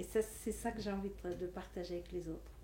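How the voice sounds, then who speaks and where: A woman is talking. She goes at a fairly quick pace. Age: 60s. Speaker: life coach. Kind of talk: interview monologue.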